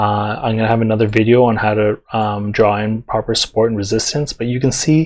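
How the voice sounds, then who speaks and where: A man, quiet, with a medium pitch and a fairly quick pace. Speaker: forex trading teacher. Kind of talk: tutorial. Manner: casual, filler-heavy.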